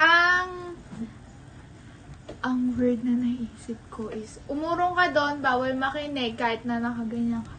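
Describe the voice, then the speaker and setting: A woman's high-pitched, raised, projected voice in a playful tone, at a very slow pace with ordinary pitch variation, big swings in loudness and noticeable background noise. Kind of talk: casual vlog talk to camera. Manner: playful, laughing, game-like.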